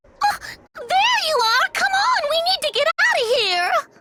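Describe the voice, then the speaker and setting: An extremely high-pitched, put-on character voice delivered at a moderate pace. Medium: video game.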